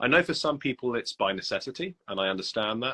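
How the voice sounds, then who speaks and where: Over a quiet background, a man with a British accent talks at a fairly high pitch, his voice bright and sharp with very wide pitch swings, the sound dry and close with no echo. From UK. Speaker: copywriter. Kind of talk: casual interview. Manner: hesitant, many fillers.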